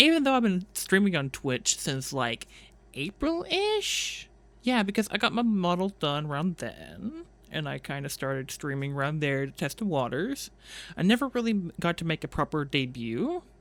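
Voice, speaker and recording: At a moderate pace, the words come through a very clean recording with a silent background. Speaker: VTuber streamer. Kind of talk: casual solo monologue. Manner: rambling, halting with fillers. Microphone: new cleaned-up microphone.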